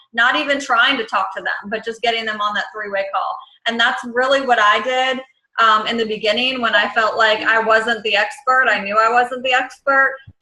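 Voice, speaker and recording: A woman speaks at a fairly high pitch. Her intonation is fairly even. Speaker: network marketing team leader. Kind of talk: team conference call. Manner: fast.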